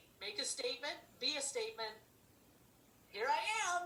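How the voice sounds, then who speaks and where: A woman's raised, projected voice with a bright, sharp tone, very wide pitch swings and a fairly quick pace, plus audible room echo. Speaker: ministry leader. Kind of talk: casual devotional chat. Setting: video call.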